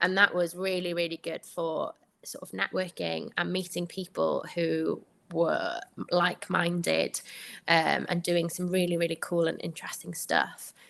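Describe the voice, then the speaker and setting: With a Welsh accent, a woman talks at a fairly slow pace. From Wales. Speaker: doctor. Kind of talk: podcast interview.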